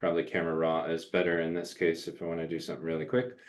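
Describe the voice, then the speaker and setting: A man speaks with a very deep, low pitch. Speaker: photography instructor. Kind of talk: webinar tutorial. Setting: live webinar video call.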